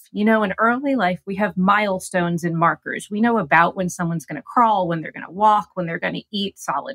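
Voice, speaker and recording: The sound is dry and close with no echo, carrying an ordinary speaking voice. A woman talks at a medium pitch and moderate pace with ordinary pitch variation. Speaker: gerontologist. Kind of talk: interview.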